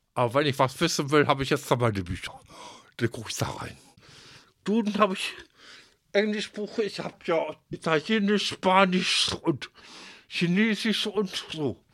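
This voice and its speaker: A man with vocal fry speaks at a moderate pace, his pitch swinging very widely. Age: 60s. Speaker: retiree, former baker's assistant. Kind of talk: personal interview.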